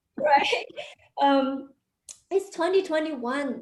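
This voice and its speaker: A woman is speaking at a high pitch. Her pace is fairly slow. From China. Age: 30s. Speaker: stand-up comedian. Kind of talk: stand-up. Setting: stage with audience.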